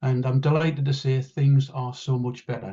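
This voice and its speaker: Somewhat breathy and dark, mellow in tone, a man with a northeast English accent speaks at a medium pitch and a fairly quick pace. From northeast England. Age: 60s. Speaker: patient advocate. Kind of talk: testimony.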